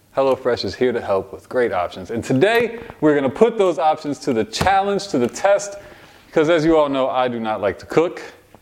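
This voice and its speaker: A man's fairly high voice at a fairly quick pace, with very wide pitch swings, big swings in loudness and noticeable background noise. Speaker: podcast co-host reading ad. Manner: joking, animated.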